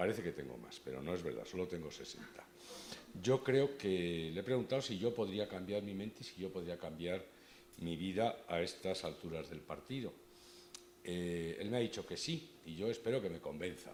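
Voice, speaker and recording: His pitch is very deep and low, with lively intonation. The man's voice carries audible room echo. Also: moderate pace. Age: 60s. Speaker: lawyers' association board member, event moderator. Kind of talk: introducing a speaker at a conference. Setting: stage with audience. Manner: casual, self-deprecating, hesitant with repetitions.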